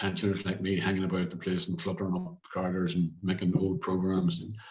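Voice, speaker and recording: Very fast and somewhat breathy, a man with a Northern Irish accent speaks in a very deep, low pitch with monotone, flat intonation. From Derry, Northern Ireland. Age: old. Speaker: TV presenter and producer. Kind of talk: interview answer.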